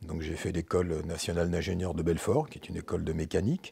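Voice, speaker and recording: The man's tone is dark and mellow. There is some breathiness to it. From France. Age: 60s. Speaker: former industrialist, business consultant. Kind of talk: podcast interview. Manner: casual, hesitant with fillers.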